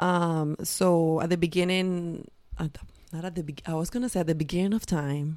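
A woman's fairly low-pitched voice, an ordinary speaking voice, moderately paced, its intonation fairly even. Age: 30s. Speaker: podcast co-host.

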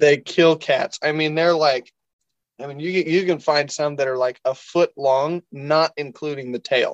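With an unremarkable speaking voice, fairly high in pitch, a man speaks at a fairly slow pace with fairly even intonation, in a dry, close sound with no echo. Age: 20s. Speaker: hunter and outdoor media founder. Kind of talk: casual interview storytelling. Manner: casual, with filler words.

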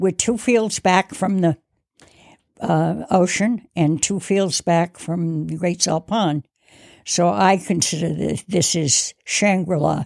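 Dry and close with no echo, a woman's fairly low voice moves at a very slow pace with ordinary pitch variation. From New England, Block Island, Rhode Island. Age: 90s. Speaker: island resident sharing local history. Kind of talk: interview storytelling.

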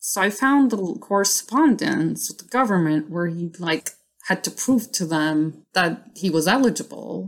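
A woman talks at a fairly slow pace at a medium pitch, with lively intonation and big swings in loudness. Hers is a plain, everyday voice. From New York City (Queens), immigrant as a child. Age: 30s. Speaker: designer. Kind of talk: casual chat.

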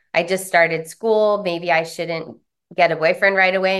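A woman talks at a fairly quick pace. She has a plain, everyday voice. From US West Coast, San Diego. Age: 40s. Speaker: trauma recovery practitioner and author. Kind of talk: interview, life story.

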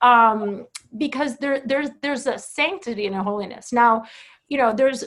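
This woman has an unremarkable speaking voice, fairly high in pitch, with ordinary pitch variation and a moderate pace. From Boca Raton, Florida (born in Brazil). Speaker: author. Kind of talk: casual chat.

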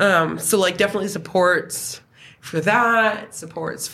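A woman with an Atlantic Canadian accent speaks at medium pitch. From New Brunswick, Canada. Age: 30s. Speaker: former youth in care. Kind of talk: casual interview.

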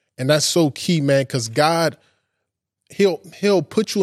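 In a normal speaking voice, a man talks at a moderate pace with ordinary pitch variation on a very clean recording with a silent background. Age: 20s. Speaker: podcast host giving a bible study. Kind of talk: sermon-style bible study. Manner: casual, conversational.

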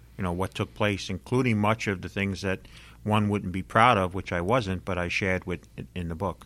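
In a very clean recording with a silent background, a man speaks at a moderate pace and fairly low pitch with fairly even intonation, a plain, everyday voice. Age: 50s. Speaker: financial author and investment expert. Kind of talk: interview.

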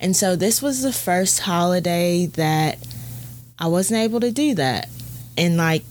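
With an American accent, a woman with a fairly low pitch speaks in lively intonation over noticeable background noise. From US South, Alabama. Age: 20s. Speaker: podcast host. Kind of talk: casual monologue.

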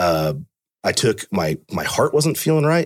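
A man with a Californian accent speaks with lively intonation. The recording is very clean with a silent background, dry and close with no echo. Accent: Californian American English. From Fremont, California. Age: 30s. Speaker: police officer, canine handler and hostage negotiator. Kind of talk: casual interview conversation.

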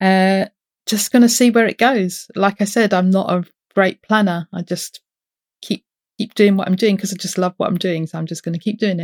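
A woman's medium-pitched voice with a British accent, moderate pace, and fairly even intonation, dry and close with no echo. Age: 50s. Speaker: podcaster. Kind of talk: casual interview chat.

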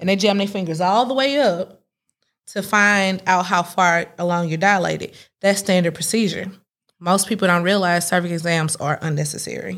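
A woman with a normal speaking voice talks at a moderate pace, at medium pitch and with ordinary pitch variation. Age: 30s. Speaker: doula. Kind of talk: casual chat. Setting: studio.

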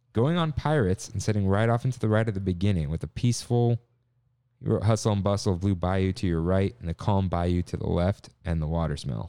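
A man speaks in a normal speaking voice at a fairly low pitch and moderate pace. His intonation is lively, against a quiet background. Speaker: podcast host. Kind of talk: casual chat. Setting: remote recording.

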